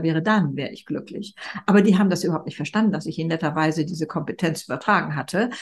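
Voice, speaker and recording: Very fast and somewhat breathy, a woman speaks with a slight Hamburg accent and ordinary pitch variation. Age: 70s. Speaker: speaker and author. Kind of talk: interview.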